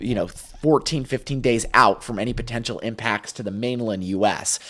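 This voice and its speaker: This man has a medium pitch and a bright, sharp tone with ordinary pitch variation. He keeps a moderate pace in a very clean recording with a silent background. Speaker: meteorologist. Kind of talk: live weather stream. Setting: live stream.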